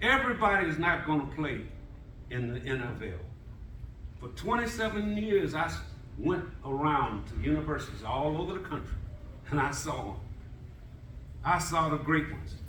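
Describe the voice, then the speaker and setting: A man with a fairly high voice talks at a moderate pace with lively intonation and long, frequent pauses, over noticeable background noise and audible room echo. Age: 70s. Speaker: former NFL scout, panelist. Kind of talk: panel talk to college athletes.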